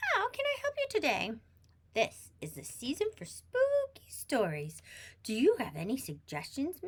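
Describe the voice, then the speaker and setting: This is a put-on character voice that sounds female. It moves at a moderate pace. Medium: read story.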